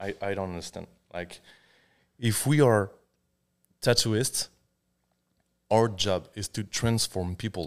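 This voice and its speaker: A man's fairly low voice with a French accent, fairly slow and broken by long, frequent pauses, with big swings in loudness, ordinary pitch variation and a very clean, silent background. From France. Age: 30s. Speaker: tattoo artist. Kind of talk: casual chat. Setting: studio.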